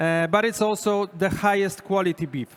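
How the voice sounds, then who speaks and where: This man's high-pitched speech keeps a moderate pace. The variation in his pitch is ordinary. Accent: Polish. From Poland. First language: Polish. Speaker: chef giving a cooking demonstration. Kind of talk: live cooking demonstration.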